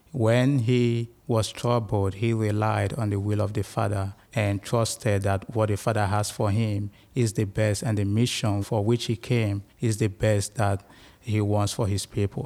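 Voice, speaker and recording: A man's fairly low voice, monotone and flat, at a moderate pace with very even loudness, in a very clean recording with a silent background. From Nigeria. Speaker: seminarian. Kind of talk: religious reflection in interview. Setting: seminary, on site recording.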